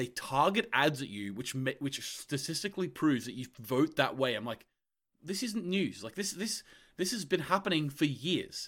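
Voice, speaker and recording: The recording is very clean, with a silent background. A man speaks at a moderate pace in a fairly high voice, with very wide pitch swings. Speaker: podcast co-host. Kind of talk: casual chat.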